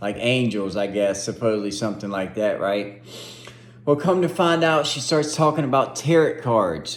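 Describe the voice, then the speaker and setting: Amid noticeable background noise and audible room echo, a man speaks at a moderate pace in a medium pitch with very wide pitch swings. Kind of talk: testimony. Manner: animated.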